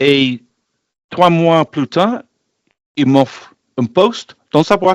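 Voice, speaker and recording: This man talks at a very slow pace with long, frequent pauses, a fairly high pitch and lively intonation, in a dry, close sound with no echo. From northern England, Barton upon Humber, Lincolnshire. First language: English (speaking French). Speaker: health and safety expert. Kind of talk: interview. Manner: halting, many hesitations.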